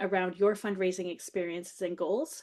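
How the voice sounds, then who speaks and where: A woman is speaking. Her pitch is medium, and the background is quiet. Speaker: fundraising coach. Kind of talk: webinar presentation. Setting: video call. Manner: fast.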